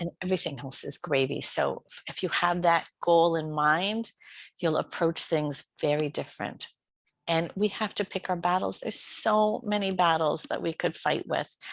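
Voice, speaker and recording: In a plain, everyday voice, a woman speaks at a moderate pace with a fairly low pitch and ordinary pitch variation, in a dry, close sound with no echo over a quiet background. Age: 60s. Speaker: life coach. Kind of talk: conference talk. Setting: online conference.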